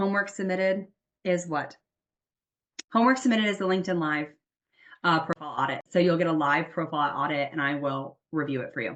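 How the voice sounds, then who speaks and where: This woman has a fairly low pitch and ordinary pitch variation. She speaks at a fairly quick pace. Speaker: career coach. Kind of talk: webinar masterclass. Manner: fast; animated.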